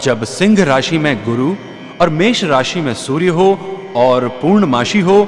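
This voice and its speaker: A man's fairly high voice with very wide pitch swings, over music in the background. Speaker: religious storyteller. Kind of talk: scripted narration. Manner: formal.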